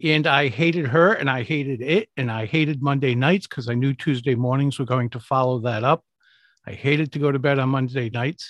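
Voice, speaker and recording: An unremarkable speaking voice moves at a fairly quick pace with ordinary pitch variation over a quiet background. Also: man, medium pitch for a man. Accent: American. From US, Rhode Island (Providence). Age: 60s. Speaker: public speaking coach. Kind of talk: interview.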